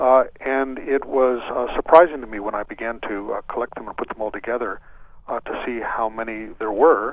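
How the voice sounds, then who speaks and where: A man with an unremarkable speaking voice and medium pitch talks at a moderate pace with fairly even intonation and big swings in loudness. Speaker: author. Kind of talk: radio interview.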